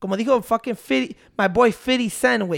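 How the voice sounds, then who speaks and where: With lively intonation and an extremely high pitch, a man speaks at a fairly quick pace on a very clean recording with a silent background. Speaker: podcast co-host, TikTok creator. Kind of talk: casual chat.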